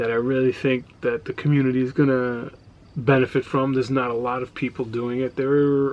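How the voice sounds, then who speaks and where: Mumbling at a fairly quick pace, a man with an American accent speaks at medium pitch in a monotone, flat intonation. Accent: New York, lighter than before. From New York. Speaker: reseller vlogger, former radio producer. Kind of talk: casual vlog monologue. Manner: quiet, not loud.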